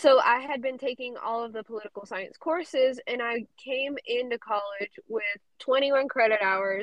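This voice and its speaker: A woman talks at a moderate pace with ordinary pitch variation. Her pitch is high. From South Carolina. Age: young. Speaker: college student. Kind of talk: interview.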